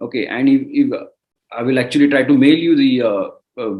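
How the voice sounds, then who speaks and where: This man has a Marathi accent. He speaks at a fairly quick pace with fairly even intonation. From India (Maharashtra). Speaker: entrepreneur. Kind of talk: interview. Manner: halting.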